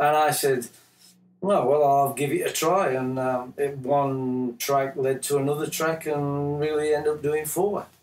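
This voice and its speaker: A man speaks in an English accent at a fairly slow pace. His pitch sits fairly high, and his intonation stays fairly even. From Yorkshire, England. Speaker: musician. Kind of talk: interview. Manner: halting.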